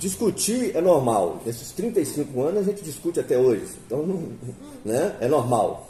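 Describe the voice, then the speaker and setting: Talking at a fairly slow pace, a man moves through very wide pitch swings. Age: 60s. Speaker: interviewer. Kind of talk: interview. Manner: halting, with many fillers.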